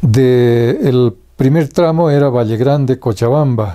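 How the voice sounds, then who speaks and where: A man's medium-pitched, dark, mellow voice at a very slow pace, with ordinary pitch variation. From Bolivia, Vallegrande province (rural). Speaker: writer, storyteller. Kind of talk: biographical interview. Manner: halting, many fillers.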